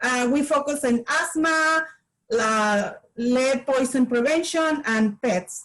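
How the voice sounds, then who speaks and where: With a Spanish accent, a woman talks very slowly in a high voice, her pitch varying in an ordinary way and her loudness very even. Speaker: community health promoter. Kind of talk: workshop demonstration. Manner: halting.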